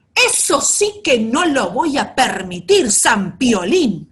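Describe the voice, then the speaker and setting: In a put-on character voice, a woman bellows in a gruff, high pitch at a very slow pace, her pitch swinging very widely. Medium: read story. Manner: roaring, gruff.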